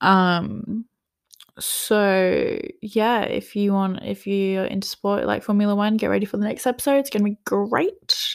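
Fairly slow speech in an Australian accent, on a very clean recording with a silent background. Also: woman. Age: 20s. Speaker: podcast host, student. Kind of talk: casual solo chat. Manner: casual, many filler ums.

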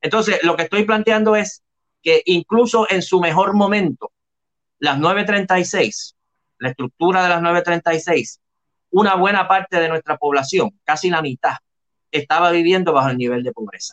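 Here a man with a high pitch talks at a fairly slow pace, using ordinary pitch variation. The sound is dry and close, with no echo. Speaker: professor, historian and senate candidate. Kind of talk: interview. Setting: video call.

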